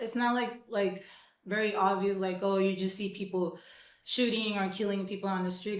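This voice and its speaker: There is audible room echo around a woman speaking at medium pitch. Her delivery is flat and monotone at a moderate pace. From Mexico, Tijuana. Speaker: punk musician. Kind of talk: casual interview. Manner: hesitant, many fillers.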